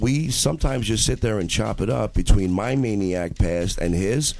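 A man speaks at a fairly low pitch. Noticeable background noise can be heard. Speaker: podcast co-host. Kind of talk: casual banter on a comedy chat show. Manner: joking, laughs a lot.

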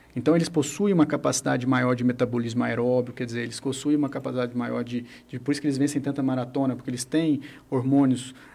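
The man's voice sits at medium pitch with a dark, mellow tone. His intonation is monotone and flat. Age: 40s. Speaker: acupuncturist and physiotherapy teacher. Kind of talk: radio interview.

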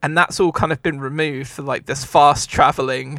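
Moderate pace and fairly high pitch in a man's normal speaking voice. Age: 30s. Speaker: podcast co-host. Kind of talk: casual chat. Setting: video call.

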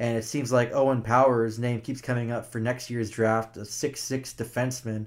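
A man's medium-pitched, monotone voice with flat intonation at a moderate pace, with hardly any pauses. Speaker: hockey podcast co-host. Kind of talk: casual sports talk podcast.

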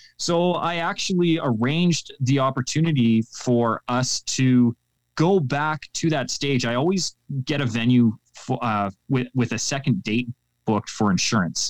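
An unremarkable speaking voice from a man with a Canadian accent, medium in pitch, with lively intonation at a fairly slow pace in a dry, close sound with no echo. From Canada. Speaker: public speaking coach. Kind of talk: interview. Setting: remote call.

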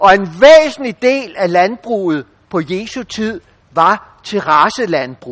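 Very wide pitch swings at a very slow pace. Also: man. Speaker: bible teacher. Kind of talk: bible teaching talk. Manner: hesitant with fillers.

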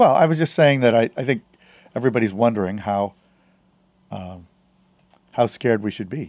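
A man of medium pitch talks at a fairly quick pace with ordinary pitch variation, yet pauses long and often. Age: 60s. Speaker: journalist and tech conference founder. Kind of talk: casual chat.

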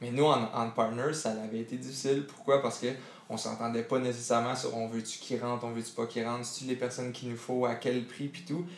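Speaking with a Quebec accent, a man keeps a fairly quick pace. His medium-pitched voice stays monotone and flat. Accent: Québécois French. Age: 20s. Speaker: entrepreneur, former football player. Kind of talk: interview. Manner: halting, many fillers.

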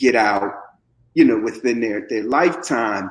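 With an American accent, a man talks at a moderate pace in a normal speaking voice of medium pitch. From Camden, New Jersey. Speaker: community activist and mentor. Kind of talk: casual conversational discussion on prison reform. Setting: podcast interview.

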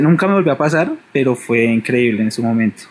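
A man has an unremarkable speaking voice at a medium pitch. He talks at a moderate pace. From Bogotá, Colombia. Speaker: caller. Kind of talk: personal paranormal story on phone.

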